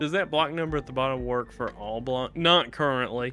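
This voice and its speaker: With music in the background, a man speaks at a fairly quick pace and a medium pitch, using ordinary pitch variation. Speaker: Minecraft streamer. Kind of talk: live stream chat. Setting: live stream. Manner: fast.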